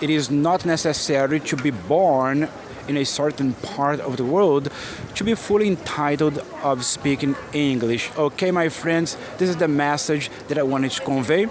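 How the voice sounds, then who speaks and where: A man with an American accent talks at a moderate pace and fairly high pitch, with ordinary pitch variation and noticeable background noise. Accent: Brazilian English, often taken for American. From Brazil, Minas Gerais. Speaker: English teacher. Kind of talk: motivational talk to camera. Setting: outdoors on a busy shopping street.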